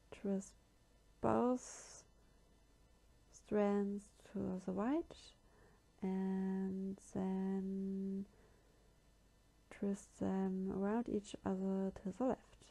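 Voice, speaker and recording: Speaking in a German accent, a woman with a medium pitch talks very slowly and somewhat breathily, her intonation fairly even and her pauses long and frequent. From Germany. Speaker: craft tutorial youtuber. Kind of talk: tutorial. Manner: halting.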